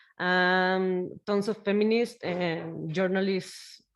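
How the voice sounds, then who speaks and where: A woman with a Mexican accent, fairly low in pitch, at a very slow pace with fairly even intonation. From Mexico. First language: Spanish. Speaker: podcast host. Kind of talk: interview. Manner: halting.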